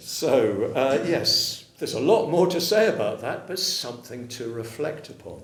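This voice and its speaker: A man with an English accent at a fairly high pitch and fairly slow pace, with very wide pitch swings and big swings in loudness, amid audible room echo and noticeable background noise. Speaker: Buddhist teacher. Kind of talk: dharma talk with consecutive interpretation. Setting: room with audience.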